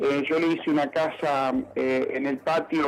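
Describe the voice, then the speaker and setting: Against noticeable background noise, a man with a fairly high pitch talks at a fairly slow pace. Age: 60s. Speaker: factory owner and inventor. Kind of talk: radio interview. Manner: halting, many fillers.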